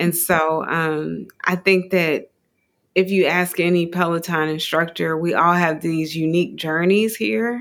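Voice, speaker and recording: A woman with a plain, everyday voice speaks at a fairly slow pace, her pitch fairly low and her intonation fairly even. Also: very clean recording, silent background. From US Midwest. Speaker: yoga teacher. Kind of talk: interview.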